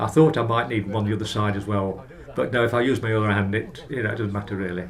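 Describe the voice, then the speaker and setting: A man talks at a very fast pace in a somewhat breathy voice, with audible echo from the room. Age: 80s+. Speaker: older person receiving home care service. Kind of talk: documentary interview. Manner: halting.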